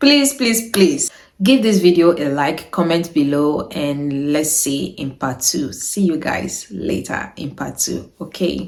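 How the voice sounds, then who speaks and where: Speaking at a very slow pace with hardly any pauses, a woman uses a very deep, low pitch and lively intonation. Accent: Niger Delta. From Nigeria, Delta State. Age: 30s. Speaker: YouTuber. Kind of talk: Q&A vlog.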